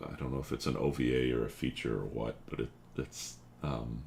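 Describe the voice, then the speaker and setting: Noticeable background noise lies beneath a man whose very deep, low voice stays flat and monotone at a fairly quick pace. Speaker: streamer reading chat while working on an animation project. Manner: casual, rambling, with filler words.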